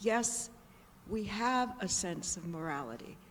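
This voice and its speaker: The speech moves at a moderate pace with very wide pitch swings, and room echo can be heard. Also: woman. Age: 80s+. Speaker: audience member asking a question. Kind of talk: audience question. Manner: hesitant, repeating words.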